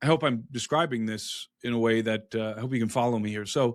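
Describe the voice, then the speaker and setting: On a very clean recording with a silent background, a man with a Midwestern US accent talks at a fairly quick pace and a medium pitch. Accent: General American, Midwestern. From US Midwest, Brook Park, Ohio. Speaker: author and researcher on ancient mysteries. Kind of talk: podcast interview. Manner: animated, with frequent restarts and fillers.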